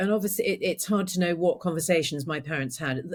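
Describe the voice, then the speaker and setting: A woman speaks in a fairly low pitch. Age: 60s. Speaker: holistic arts practitioner, trauma recovery. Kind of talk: podcast interview. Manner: hesitant, many fillers.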